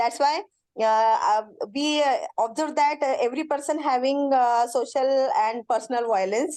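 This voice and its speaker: With an Indian accent, a woman speaks in a high pitch with lively intonation. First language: Indian language, not English. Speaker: education lecturer, course participant. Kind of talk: self-introduction in online class. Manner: halting with many fillers.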